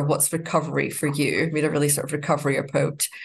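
With a Scottish accent, a woman talks very fast in a very deep, low pitch, somewhat breathy, with monotone, flat intonation. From Scotland. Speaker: life coach. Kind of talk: interview.

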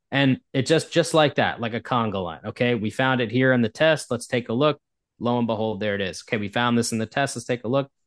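A man with an American accent talks at a very fast pace in a medium pitch, with a quiet background and a dry, close sound with no echo. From US Northeast. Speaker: indoor air quality expert. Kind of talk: interview.

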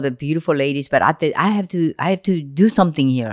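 On a very clean recording with a silent background, a woman with a Korean accent speaks at a fairly low pitch and a fairly quick pace with ordinary pitch variation. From South Korea, Seoul. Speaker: podcast host's mother. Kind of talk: emotional personal interview.

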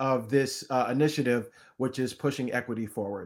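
On a very clean recording with a silent background, a man with an American accent speaks in fairly even intonation. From US, central New Jersey. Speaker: physician and health researcher. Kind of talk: interview. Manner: halting, frequent repetitions.

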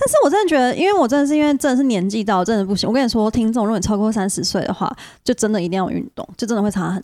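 A woman talks at a very fast pace with hardly any pauses, her fairly high voice dark and mellow in tone with lively intonation. The recording is very clean, with a silent background. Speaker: podcast co-host. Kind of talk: casual chat.

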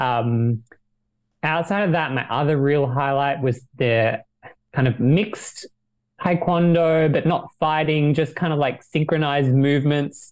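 A man talks at a fairly high pitch and a fairly slow pace, with ordinary pitch variation. His is an ordinary speaking voice, kept at very even loudness. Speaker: podcast panelist. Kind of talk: casual chat.

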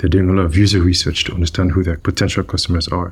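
Somewhat breathy and very deep in pitch, a man speaks at a very fast pace in a monotone, flat intonation. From Nigeria. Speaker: product manager. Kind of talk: interview.

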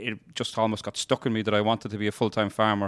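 Talking very fast in a Kerry accent, a man holds a medium pitch. The recording is very clean with a silent background, and the sound is dry and close with no echo. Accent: Kerry Irish. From Ireland, North Kerry. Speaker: dairy farmer. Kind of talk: interview.

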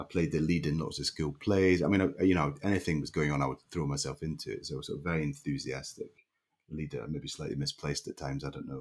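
A man's very deep, low voice with vocal fry and a Scottish accent, very fast pace, and fairly even intonation. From Scotland, Leven, Fife. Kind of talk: interview.

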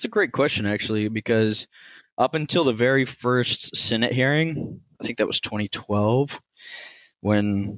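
A man with an American accent speaks at a medium pitch in a plain, everyday voice, with ordinary pitch variation and a dry, close sound with no echo on a very clean recording against a silent background. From Texas, central. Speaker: bitcoin miner and tech executive. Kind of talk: interview.

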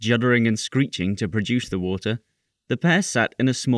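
Plain reading aloud with ordinary pitch variation over a quiet background

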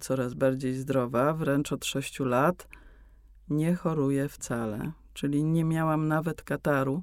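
A woman with a very deep, low pitch speaks at a very slow pace with fairly even intonation. The recording is very clean, with a silent background. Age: 60s. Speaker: meditation teacher, former ballet dancer. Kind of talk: explanatory interview talk. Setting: studio.

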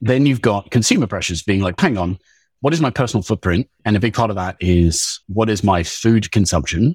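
Speaking at a fairly quick pace with an Australian accent, a man uses a fairly low, somewhat breathy voice with ordinary pitch variation, in a very clean, dry, close recording with no echo and a silent background. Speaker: agtech company co-founder. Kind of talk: podcast interview. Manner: animated.

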